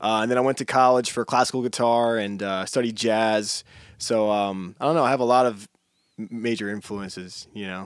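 A man with a normal speaking voice and an American accent, medium pitch, fairly even intonation and a moderate pace on a very clean recording with a silent background. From Poconos, Pennsylvania. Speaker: musician. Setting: studio.

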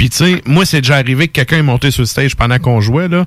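A man speaks very fast with a Quebec accent. His intonation is lively and his voice somewhat breathy. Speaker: radio host. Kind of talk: casual chat. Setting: studio.

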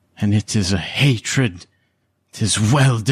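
Putting on a growling character voice, a man speaks at a fairly slow pace with a fairly low pitch. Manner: scowling, harsh snarl.

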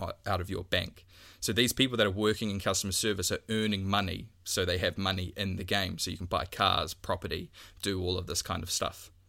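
A man speaks with a New Zealand accent. His pitch is fairly low and his tone bright and sharp. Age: 20s. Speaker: podcast co-host. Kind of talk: casual chat. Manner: halting, many fillers.

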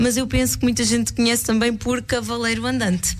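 There's audible echo from the room around this woman's voice. Noticeable noise also sits in the background. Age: 20s. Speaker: guest radio presenter. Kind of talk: radio music show chat. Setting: radio studio.

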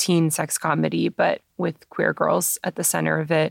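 The recording is very clean, with a silent background and a dry, close sound with no echo. A woman talks at a fairly quick pace. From Canada, Toronto. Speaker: film director and screenwriter. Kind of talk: interview conversation. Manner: casual with many fillers.

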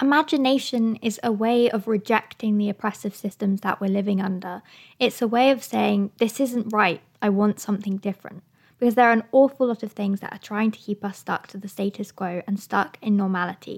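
A woman's normal speaking voice, medium-pitched and fairly even in intonation, at a fairly quick pace in a dry, close, echo-free and very clean recording with a silent background. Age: 20s. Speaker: podcast host and climate activist. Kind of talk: solo podcast monologue.

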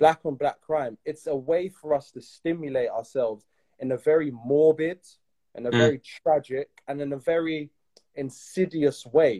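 This man's voice has a dark, mellow tone and a fairly high pitch, with ordinary pitch variation, a moderate pace and a dry, close sound with no echo. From UK. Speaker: podcast host. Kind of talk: interview conversation. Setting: Instagram Live.

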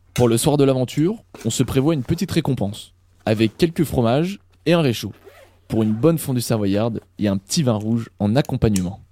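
A man with a medium pitch and a dark, mellow tone speaks at a fairly quick pace with lively intonation, in a very clean recording with a silent background. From Normandy, France. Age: 20s. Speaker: podcast host and hiker. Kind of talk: scripted narration.

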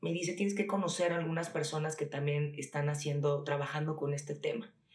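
Moderately paced female speech amid noticeable background noise and audible room echo. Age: 30s. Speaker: entrepreneur, skincare brand founder. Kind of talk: casual interview.

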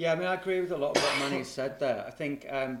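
A man talks at a very fast pace with ordinary pitch variation. Background noise is noticeable, and the room echo is audible. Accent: Liverpool. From Liverpool, England. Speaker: football journalist. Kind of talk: casual chat.

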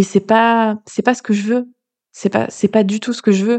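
Speaking with fairly even intonation at a moderate pace, a woman keeps to a medium pitch. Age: 30s. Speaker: podcast host and life coach. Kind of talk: spontaneous solo monologue. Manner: halting, many fillers.

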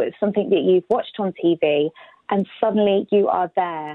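A woman with a British accent talks with ordinary pitch variation. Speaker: former Olympic athlete. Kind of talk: interview.

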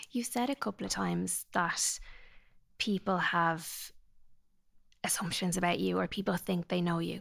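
A woman with an Irish accent, very even in loudness, with long, frequent pauses, in a very clean recording over a silent background. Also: moderate pace. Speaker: psychologist podcast host. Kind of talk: interview, scripted intro and advice.

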